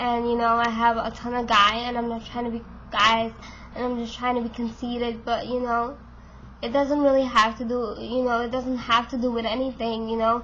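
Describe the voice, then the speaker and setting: A woman at a moderate pace, monotone and flat in intonation, with audible room echo. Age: 20s. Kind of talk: casual vlog monologue. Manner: hesitant, many fillers.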